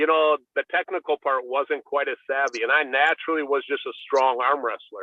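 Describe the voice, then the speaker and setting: Talking at a moderate pace, a man leaves hardly any pauses. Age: 60s. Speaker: arm wrestler. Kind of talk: casual chat. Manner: hesitant, many fillers.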